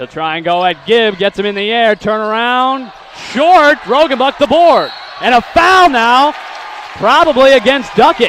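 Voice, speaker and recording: A man's extremely high-pitched voice with lively intonation at a fairly slow pace, crowd noise in the background. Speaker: sports play-by-play announcer. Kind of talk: basketball play-by-play commentary.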